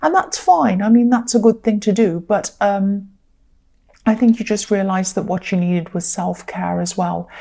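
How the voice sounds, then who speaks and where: A woman speaks at medium pitch and a moderate pace. Her voice is somewhat breathy. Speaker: tarot reader. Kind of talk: tarot reading. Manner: casual, hesitant with fillers.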